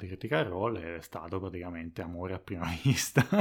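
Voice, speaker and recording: A man with a Tuscan accent talks at a fairly quick pace on a very clean recording with a silent background. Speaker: podcast editor and co-host. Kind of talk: casual chat.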